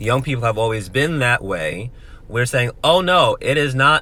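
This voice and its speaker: Fairly slow delivery in an animated, bright, sharp tone. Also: man. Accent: American. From New York, the Bronx. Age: 20s. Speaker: motivational speaker. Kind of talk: direct-to-camera commentary.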